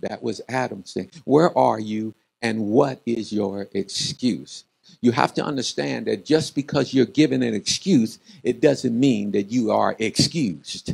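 Over a quiet background, a man talks at a fairly slow pace with vocal fry. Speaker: preacher. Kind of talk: sermon. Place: church. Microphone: handheld.

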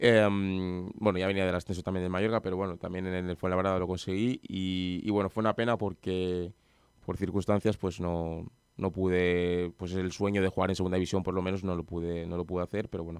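A man with a slight Madrid accent speaks fairly quickly at a very deep, low pitch in a monotone, flat intonation. The sound is dry with no echo over a quiet background. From Madrid, Spain; Spain. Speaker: professional footballer; guest. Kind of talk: radio interview. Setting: radio studio. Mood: relaxed, modest. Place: studio. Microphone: studio mic.

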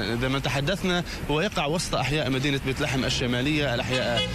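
A man speaks with ordinary pitch variation. The sound is dry with no echo, and there is noticeable background noise. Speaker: TV field correspondent. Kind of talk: live news report. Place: street.

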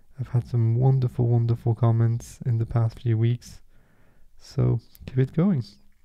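The voice is somewhat breathy with a dark, mellow tone, moving at a moderate pace with ordinary pitch variation. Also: man, quiet background. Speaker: meditation guide. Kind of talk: guided meditation. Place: home room.

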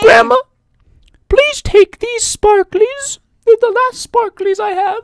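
A female-sounding voice puts on a squeaky character voice at an extremely high pitch. It moves at a fairly slow pace with long, frequent pauses. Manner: fake, exaggerated voice acting.

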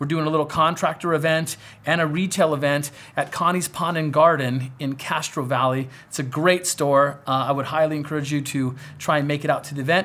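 A man at a fairly quick pace, his intonation fairly even. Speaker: pond contractor show host. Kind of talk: host talk to camera, Q&A show. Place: office.

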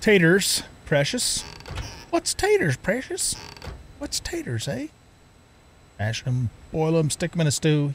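Someone performs a put-on character voice at a fairly slow pace. Long, frequent pauses break it up. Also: man, fairly high pitch for a man. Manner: muttering, obsessive.

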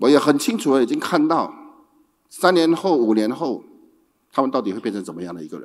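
A man speaks fairly quickly against a quiet background, using vocal fry, very wide pitch swings and big swings in loudness, with long, frequent pauses. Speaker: company executive director; speaker. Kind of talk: opening speech. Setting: stage with audience. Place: stage. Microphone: handheld.

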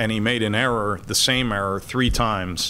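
A man with an American accent talks at a moderate pace in a bright, sharp tone with fairly even intonation. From New Jersey, US. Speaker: consultant, former stock exchange trader. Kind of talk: interview in front of a class. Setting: classroom with student audience. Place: stage. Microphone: podium.

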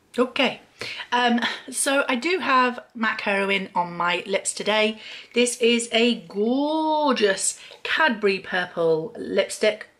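A woman with a British accent speaks very slowly, her intonation lively and her loudness very even throughout. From Great Britain. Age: 40s. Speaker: beauty YouTuber; beauty vlogger. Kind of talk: casual vlog talk to camera. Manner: hesitant with frequent fillers. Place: home room. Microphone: webcam.

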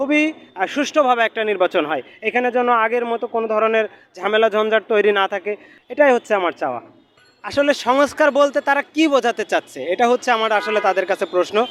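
High pitch from a man, with ordinary variation in that pitch. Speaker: member of the public interviewed. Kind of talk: street interview.

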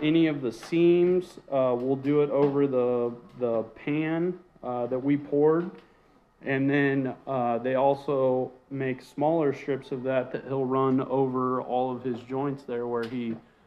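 Here a man speaks at a very slow pace. Light background noise is present. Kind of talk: casual walkthrough explanation. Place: bathroom.

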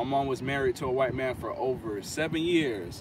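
An American man talks at a moderate pace in an animated tone with ordinary pitch variation. The sound is dry with no echo, but background noise is noticeable. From Florida. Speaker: lawn care YouTuber. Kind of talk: live stream casual talk. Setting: outdoors. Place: car. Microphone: phone near.

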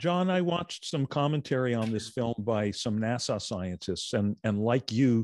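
A man with a medium pitch speaks at a fairly slow pace in a dry sound with no echo and a quiet background. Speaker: movie talk show co-host. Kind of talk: casual chat about films. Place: home room. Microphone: studio mic.

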